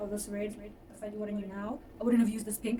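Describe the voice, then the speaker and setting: A woman talks with fairly even intonation, with noticeable background noise and audible room echo around her. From South Africa, Johannesburg. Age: 20s. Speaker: fiber artist. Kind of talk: casual chat. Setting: at home.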